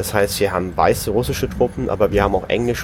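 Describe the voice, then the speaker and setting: The speech comes at a fairly quick pace with ordinary pitch variation. Noticeable background noise is present. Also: man. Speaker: podcast co-host. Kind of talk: informal report reading from a diary. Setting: on a moving train, noisy background. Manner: halting, with repetitions and filler words.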